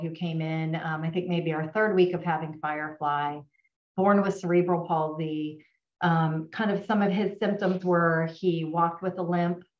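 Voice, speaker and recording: A woman with a fairly low pitch speaks at a moderate pace with fairly even intonation. The background is quiet, though room echo is audible. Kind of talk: testimonial storytelling. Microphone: video call.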